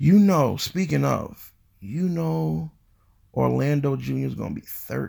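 A man speaks loudly at a fairly low pitch in a dark, mellow tone. His pitch swings very widely and his pace is fairly slow. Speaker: podcast host. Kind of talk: casual chat.

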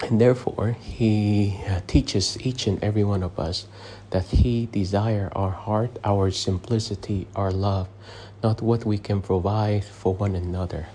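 A man speaks at a fairly slow pace in a dark, mellow, somewhat breathy voice. His pitch is fairly low and his intonation fairly even. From abroad, immigrated to the US as a child. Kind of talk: sermon. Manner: hesitant, with frequent fillers.

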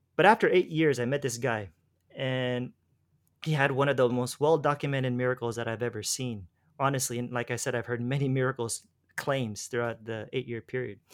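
A man with an American accent talks at a fairly quick pace in a plain, everyday voice, his pitch medium and his intonation fairly even. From US, Los Angeles. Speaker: former preacher and faith healer. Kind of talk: interview conversation. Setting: remote call. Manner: casual, laughs often.

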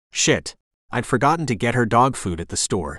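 Playful and fairly quick, a man speaks at a medium pitch with very wide pitch swings and vocal fry over a quiet background. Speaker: audiobook narrator voicing male lead. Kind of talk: literary audiobook reading, first-person narration. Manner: gruff, brooding, dry, with playful dog-voice.

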